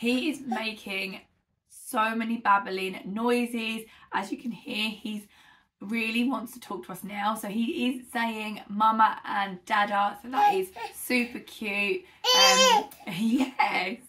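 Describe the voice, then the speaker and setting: A woman with a British accent talks at a very slow pace, her fairly high pitch showing ordinary variation. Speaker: parenting vlogger. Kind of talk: casual vlog update. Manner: chatty, many fillers.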